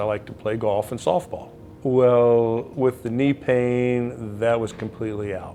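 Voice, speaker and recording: Monotone, flat delivery at a moderate pace over background music. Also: man. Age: 60s. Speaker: retired firefighter and patient, now auctioneer. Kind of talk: testimonial interview.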